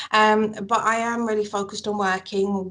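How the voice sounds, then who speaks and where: With a Manchester accent, a woman speaks in a monotone, flat intonation. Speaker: mental health campaigner. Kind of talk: interview. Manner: halting.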